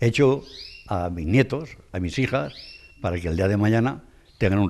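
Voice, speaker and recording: With lively intonation, a man speaks at a fairly quick pace. His voice is very deep and low. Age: 70s. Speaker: craftsman (scale maker). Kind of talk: interview. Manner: halting.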